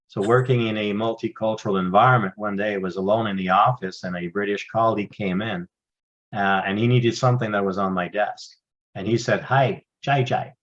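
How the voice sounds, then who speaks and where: A man with a French accent speaks at a fairly low pitch. His pace is fairly quick and his intonation fairly even. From Northern Ontario, Canada (francophone). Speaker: retired intelligence officer, speaker and trainer. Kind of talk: interview. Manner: halting, many fillers and repeats.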